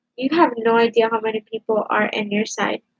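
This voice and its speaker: The sound is dry and close with no echo as a woman speaks at a moderate pace. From Cuba, moved to US at age four. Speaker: live streamer. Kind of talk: heated debate. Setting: live stream on camera. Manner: loud.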